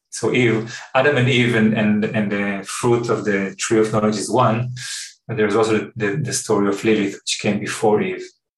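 A man with a fairly low pitch talks at a moderate pace. His intonation stays fairly even, and room echo is audible. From Israel. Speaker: therapeutic workshop facilitator and teacher. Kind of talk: podcast interview.

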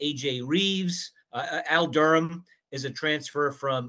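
Against a quiet background, a man speaks. His tone is bright and sharp, with a fairly high pitch. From Rhode Island. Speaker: sports journalist and radio host. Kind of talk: casual sports chat.

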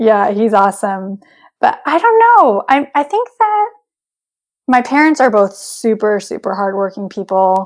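A woman with an American accent and a normal speaking voice, fairly high in pitch, with ordinary pitch variation against a quiet background. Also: fairly slow pace. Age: 30s. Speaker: triathlete. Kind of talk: casual chat.

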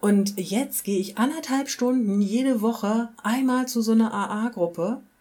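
A woman speaks with an unremarkable speaking voice at a fairly high pitch. Her pace is fairly slow, her loudness very even and her pitch variation ordinary. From rural Germany. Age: 40s. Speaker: recovering alcoholic interviewee. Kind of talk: personal testimony interview.

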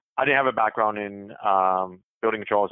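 Using a normal speaking voice, a man with an American accent speaks fairly quickly at a fairly low pitch and with fairly even intonation. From US South, Jacksonville, Florida. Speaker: recruiting manager, military veteran. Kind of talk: interview.

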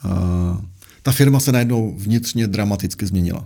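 Somewhat breathy and dark and mellow in tone, a man speaks at a moderate pace with ordinary pitch variation. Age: 40s. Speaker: investment adviser, former portfolio manager. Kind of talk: interview. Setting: studio.

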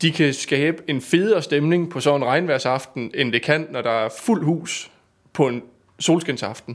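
A man's unremarkable speaking voice, fairly high in pitch, at a fairly slow pace. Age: 20s. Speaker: stage pyrotechnician. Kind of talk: casual interview.

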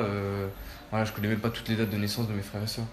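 A man's voice carries audible room echo over noticeable background noise. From southern France, Nîmes. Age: 20s. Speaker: young traveller. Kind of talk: personal testimony. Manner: halting, many repetitions and fillers.

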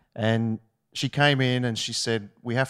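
A man speaks with an Australian accent. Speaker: ministry student. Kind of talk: testimony. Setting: stage with audience.

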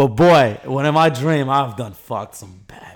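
A man with an American accent speaks in an ordinary speaking voice pitched fairly high. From US South, Atlanta. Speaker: YouTuber. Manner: loud, projecting.

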